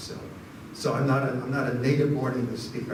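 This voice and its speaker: Amid audible room echo and noticeable background noise, a man rushes along at a very fast pace. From Arizona, Phoenix area. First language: Spanish. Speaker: history professor. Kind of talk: audience Q&A after lecture. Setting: lecture hall with audience. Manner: halting, repeats words.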